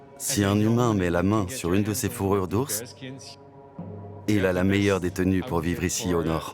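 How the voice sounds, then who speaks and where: A man speaks in a fairly low pitch at a moderate pace, with ordinary pitch variation and very even loudness. He leaves long, frequent pauses, and music plays in the background. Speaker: voice actor. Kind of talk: documentary voice-over.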